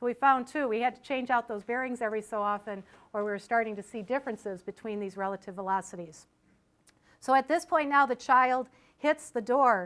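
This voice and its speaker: A woman with a normal speaking voice talks at a fairly quick pace, with fairly high pitch and ordinary pitch variation. The recording is very clean, with a silent background. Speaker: engineering professor and crash safety researcher. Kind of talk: lecture.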